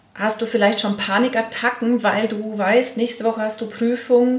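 A woman with an ordinary speaking voice, fairly high in pitch, at a fairly slow pace. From Allgäu, southern Germany. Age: 40s. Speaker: hypnotherapist. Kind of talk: interview.

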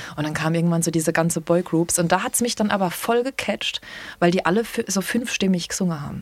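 Speaking at a very fast pace, a woman has a fairly low pitch with ordinary pitch variation. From Palatinate, Landau. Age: 30s. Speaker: singer and singing DJ. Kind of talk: casual chat.

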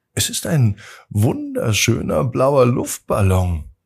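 On a very clean recording with a silent background, a man of medium pitch speaks slowly with vocal fry, a husky, rough edge, a slightly mellow tone and very wide pitch swings.

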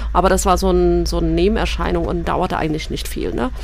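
A woman's voice with audible room echo. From Eritrea. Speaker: member of parliament. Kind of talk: radio interview.

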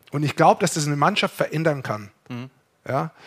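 On a very clean recording with a silent background, a man speaks at a fairly high pitch with ordinary pitch variation. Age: 60s. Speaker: ice hockey expert co-host. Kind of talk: casual chat.

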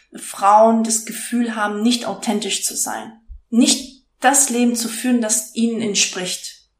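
There is audible room echo as a woman speaks at a fairly slow pace. Her fairly high voice stays monotone and flat. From Stuttgart, Swabia. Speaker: life coach and podcaster. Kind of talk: casual interview. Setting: in host's kitchen.

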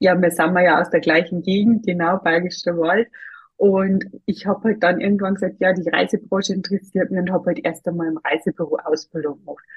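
A woman with a medium-pitched voice talks at a moderate pace, her intonation fairly even. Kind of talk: interview.

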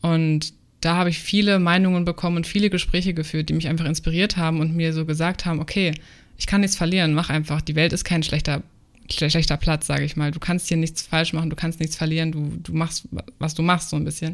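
A woman's fairly low, monotone, flat voice at a fairly quick pace. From Germany, Frankfurt. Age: 20s. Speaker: aspiring travel influencer. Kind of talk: casual interview.

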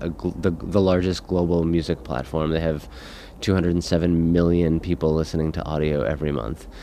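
In an American accent, a man talks at a moderate pace with a very deep, low pitch. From US. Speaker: podcast company founder and executive. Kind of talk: interview. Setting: conference venue.

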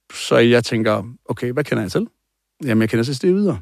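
A man's medium-pitched voice at a moderate pace. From Denmark, Aarhus. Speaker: coach and former bodybuilder. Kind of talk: interview testimony.

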